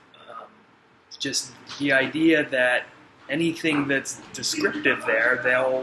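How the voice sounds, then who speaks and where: Noticeable background noise sits under a man speaking very slowly at a fairly high pitch, with fairly even intonation, long, frequent pauses and big swings in loudness. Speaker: person who stutters, interviewee. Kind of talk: interview. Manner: stutters.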